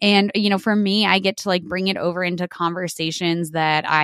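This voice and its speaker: Here is a woman with an American accent and a plain, everyday voice. She talks at a fairly quick pace with fairly even intonation. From New Mexico, US Southwest. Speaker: dairy farmer and environmental consultant. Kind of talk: interview conversation.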